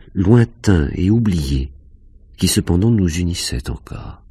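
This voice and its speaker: With noticeable background noise behind him, a man speaks in an intense tone at a fairly slow pace, his pitch swinging very widely. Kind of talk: audiobook reading of a first-person fantastic short story. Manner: slow, hushed, dreamy, intense narration.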